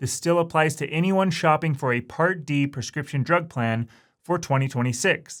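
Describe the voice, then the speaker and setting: Recorded very cleanly against a silent background, a man speaks in a fairly high pitch with ordinary pitch variation. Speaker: insurance agent. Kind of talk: tutorial. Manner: fast.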